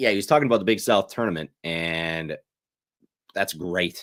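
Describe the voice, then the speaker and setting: A man is speaking. His voice is loud. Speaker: sports betting show host. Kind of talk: casual livestream picks talk. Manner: animated.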